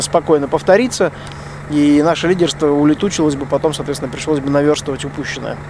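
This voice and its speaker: There is noticeable background noise as a man speaks at a very fast pace. His pitch is fairly high and his intonation fairly even. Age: 40s. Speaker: rally co-driver and podcaster. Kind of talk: spoken field diary. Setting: truck cab at a desert bivouac.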